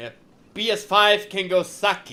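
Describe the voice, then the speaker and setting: A man with a bright, sharp tone. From Czech Republic. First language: Czech. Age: 40s. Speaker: gaming streamer. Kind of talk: live stream chat while gaming. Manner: repeats phrases often.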